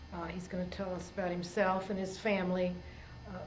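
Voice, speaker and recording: A woman speaks over noticeable background noise. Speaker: oral history interviewer. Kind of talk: interview introduction and questions.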